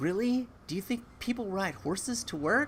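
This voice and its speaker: With an American accent, a man speaks at a fairly slow pace. His pitch swings very widely. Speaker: YouTuber. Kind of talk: live stream chat. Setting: garage.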